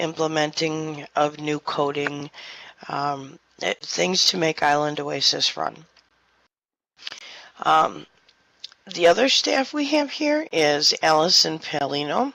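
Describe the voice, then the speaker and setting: Soft-spoken, the voice moves at a very slow pace, broken by long, frequent pauses. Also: woman. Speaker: virtual world co-owner. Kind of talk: community meeting address.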